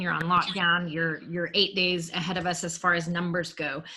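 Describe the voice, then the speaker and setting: With an American accent, a woman is speaking. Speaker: podcast host. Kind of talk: interview.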